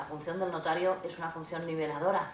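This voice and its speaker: Amid noticeable background noise and audible room echo, a woman talks at a fairly quick pace in a fairly low, monotone, flat voice. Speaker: notary. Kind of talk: panel talk at a conference. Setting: conference hall. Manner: very fast.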